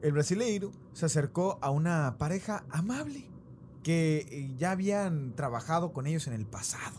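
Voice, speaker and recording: In an Argentine accent, a man speaks at a fairly slow pace. His pitch is fairly high. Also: lively intonation. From Mexico, raised by Argentine parents. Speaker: podcast host. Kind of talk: storytelling about paranormal case.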